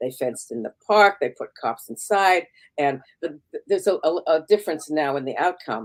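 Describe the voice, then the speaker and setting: Her intonation is lively. The woman keeps to a moderate pace. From Canada. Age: 70s. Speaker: activist and memoir author. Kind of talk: interview. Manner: halting, many repetitions.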